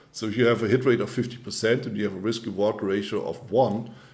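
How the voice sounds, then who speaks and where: A fairly quick pace in a German accent, with audible room echo. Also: man. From Germany. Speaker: trading coach. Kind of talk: webinar presentation. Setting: online webinar.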